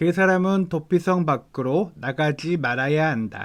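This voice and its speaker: On a very clean recording with a silent background, a man speaks very slowly at a fairly high pitch with ordinary pitch variation. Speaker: evangelist reading the Bible. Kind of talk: Bible reading aloud.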